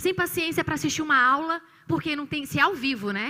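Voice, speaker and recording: A woman projects a raised, high-pitched voice with a bright, sharp tone. She moves at a moderate pace with very wide pitch swings. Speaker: psychologist. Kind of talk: church talk on mental health.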